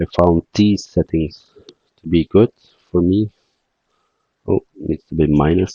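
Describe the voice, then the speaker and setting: A man with a non-native accent and very deep, low pitch, dark and mellow in tone, fairly even intonation, very slow pace with long, frequent pauses, in a dry, close sound with no echo. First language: not English. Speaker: game development tutorial creator. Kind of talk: tutorial. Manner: halting.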